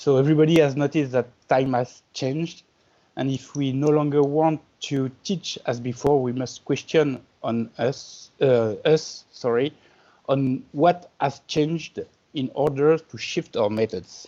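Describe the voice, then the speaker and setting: Speaking at a fairly slow pace in a French accent, a man uses fairly high pitch and fairly even intonation. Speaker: art and design teacher. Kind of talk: reading aloud.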